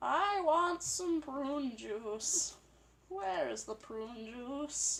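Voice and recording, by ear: A female-sounding put-on character voice, high-pitched and very slow.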